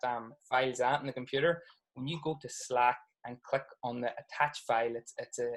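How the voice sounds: Medium-pitched male voice at a fairly quick pace, with ordinary pitch variation.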